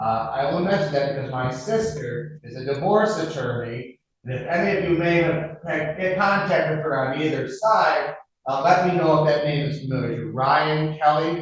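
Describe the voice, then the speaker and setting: At a moderate pace, a man with a fairly high pitch speaks with ordinary pitch variation. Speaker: defense attorney. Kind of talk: courtroom introduction to jury. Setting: courtroom. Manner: loud.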